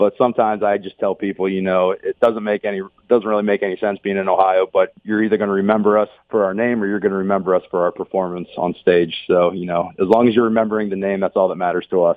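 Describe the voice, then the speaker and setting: A man with an American accent speaks at a very fast pace. His voice is fairly low in pitch, in monotone, flat intonation. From Pittsburgh, Pennsylvania. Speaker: country singer. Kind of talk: radio interview. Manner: halting.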